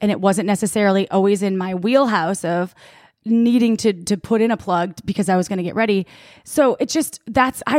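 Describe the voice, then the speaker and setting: Speaking with an American accent, a woman keeps a fairly quick pace and lively intonation. The recording is very clean and dry, close with no echo and a silent background, and she has an ordinary speaking voice. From Wisconsin. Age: 30s. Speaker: sex toy company sales head and podcast co-host. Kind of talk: casual chat.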